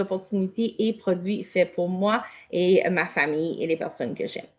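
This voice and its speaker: A woman's fairly slow speech in an Acadian accent. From Canada, New Brunswick (Acadian). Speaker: health product consultant. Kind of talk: online product presentation.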